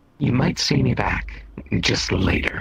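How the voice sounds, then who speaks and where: A man speaks in a put-on character voice. It is very deep and low-pitched, delivered at a fairly slow pace. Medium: game stream. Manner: polite, hesitant.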